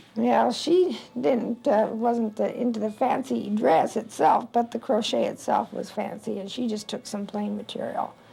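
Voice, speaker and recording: With an American accent, a woman speaks fairly slowly at a fairly high pitch against noticeable background noise. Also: ordinary pitch variation, hardly any pauses. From Massachusetts. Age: 60s. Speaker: craftswoman. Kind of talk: interview. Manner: halting.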